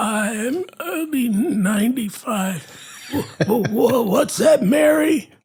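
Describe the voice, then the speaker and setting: A man's put-on character voice, high-pitched and fairly slow. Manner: halting, hesitant.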